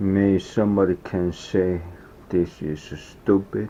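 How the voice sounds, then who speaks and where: Over noticeable background noise, a man with a Korean accent speaks very slowly at a very deep, low pitch with fairly even intonation. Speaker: foraging vlogger. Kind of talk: casual vlog narration.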